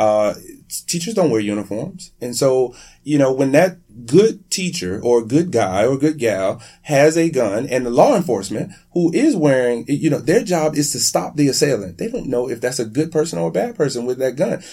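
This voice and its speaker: With an American accent, a man talks at a moderate pace and a medium pitch. His pitch swings very widely. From Miami, Florida. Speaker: teachers' union president. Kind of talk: interview. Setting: studio, in person. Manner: halting, many fillers.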